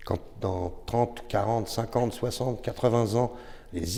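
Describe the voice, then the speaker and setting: Somewhat breathy and dark, mellow in tone, a man speaks fairly slowly at a fairly low pitch. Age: 60s. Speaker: former sound engineer. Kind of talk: podcast discussion.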